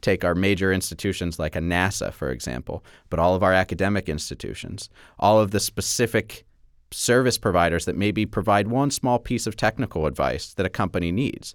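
A man's very deep, low voice with vocal fry, on a very clean recording against a silent background. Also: ordinary pitch variation, fairly quick pace. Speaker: manufacturing nonprofit executive. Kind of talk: interview.

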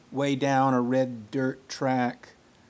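Someone is reading aloud in a natural voice. The words come across without any put-on delivery.

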